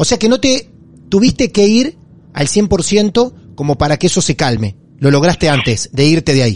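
A man with a Rioplatense accent speaks at a moderate pace. His pitch swings very widely while his loudness stays very even. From Argentina, Mar del Plata. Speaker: podcast host. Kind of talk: interview.

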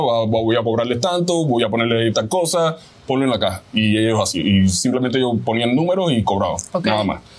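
Talking at a fairly quick pace with a Cuban accent, a man at a medium pitch uses lively intonation over noticeable background noise. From Cuba, Havana. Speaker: chef. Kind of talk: interview.

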